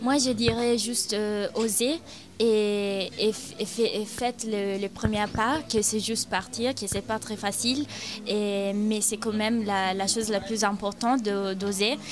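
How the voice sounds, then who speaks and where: A woman at a fairly high pitch, very slow pace and fairly even intonation, with music in the background. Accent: Italian. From Italy, Milan. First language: Italian (speaking French). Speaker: university exchange student. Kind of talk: interview testimony. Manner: halting, many hesitations.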